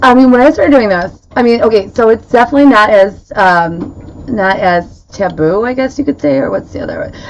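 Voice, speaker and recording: Over noticeable background noise, a woman talks at a fairly quick pace in a fairly high pitch with lively intonation. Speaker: paranormal investigator and podcast host. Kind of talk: live-streamed casual podcast chat. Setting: live stream from home speakeasy room. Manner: fast.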